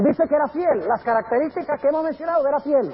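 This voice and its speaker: The speech moves at a fairly quick pace, with noticeable noise in the background. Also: man. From Colombia and Venezuela (missionary parents). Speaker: pastor. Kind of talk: sermon. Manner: conversational, engaging audience with questions; some hesitations and repetitions.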